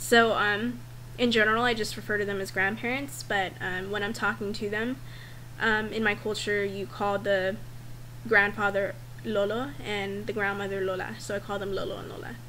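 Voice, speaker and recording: In a room with audible echo, a woman with a medium pitch and vocal fry speaks at a moderate pace, her bright, sharp tone making very wide pitch swings. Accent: strong Valley Girl. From Northern California. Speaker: vlogger. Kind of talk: casual vlog, survey answers.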